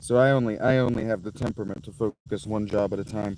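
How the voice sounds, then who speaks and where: Speaking fairly quickly with an American accent, a man has a fairly low pitch and fairly even intonation. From US Midwest, Pike County, Ohio. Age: 30s. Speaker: YouTuber. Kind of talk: casual livestream chat.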